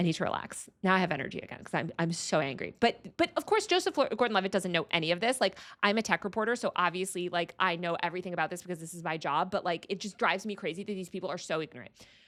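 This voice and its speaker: In a very clean recording with a silent background, the speaker races along at a very fast pace in an animated tone with hardly any pauses and ordinary pitch variation. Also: woman, medium pitch for a woman. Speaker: tech reporter. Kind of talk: livestream commentary. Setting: office.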